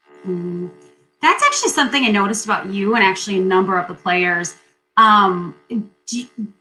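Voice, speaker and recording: Background music accompanies speech delivered fairly quickly. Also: woman, medium pitch for a woman, ordinary pitch variation. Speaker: podcast host. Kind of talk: interview. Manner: loud; talkative. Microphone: poor sound quality from technical difficulties.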